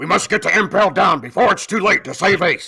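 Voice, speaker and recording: A man puts on a gruff character voice and speaks at a fairly quick pace. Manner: regal, earnest.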